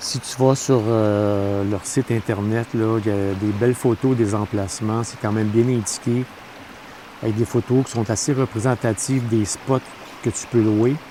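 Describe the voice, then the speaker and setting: Over noticeable background noise, a man talks at a fairly slow pace in a relaxed tone. His pitch varies in an ordinary way. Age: 60s. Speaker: camping vlogger. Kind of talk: casual vlog talk to camera. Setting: outdoors at a campsite. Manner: relaxed, with frequent hesitations.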